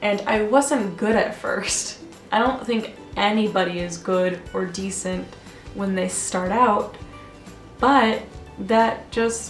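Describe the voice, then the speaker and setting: A woman talks very slowly, with long, frequent pauses, while music plays in the background. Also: medium pitch for a woman, ordinary pitch variation. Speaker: art student and vlogger. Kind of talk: casual talk to camera. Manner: rambling.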